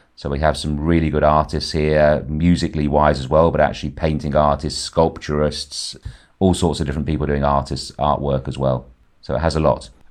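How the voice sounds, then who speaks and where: A man talks at a fairly quick pace in a very deep, low pitch with monotone, flat intonation. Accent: English. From Ibiza, Spain, to English parents. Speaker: tour guide and entrepreneur. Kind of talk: interview. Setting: phone or video call. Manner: halting.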